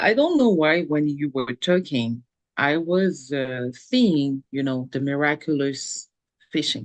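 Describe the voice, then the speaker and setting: A woman with a French accent speaks very slowly in a very deep, low voice with ordinary pitch variation, the sound dry and close with no echo. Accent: noticeable French. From French-speaking country. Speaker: life coach. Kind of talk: webinar conversation.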